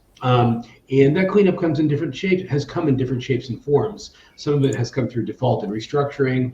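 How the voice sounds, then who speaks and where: Noticeable background noise runs behind a man who speaks fairly quickly with an American accent. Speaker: emerging markets hedge fund manager. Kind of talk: panel discussion. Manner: halting, many fillers and restarts.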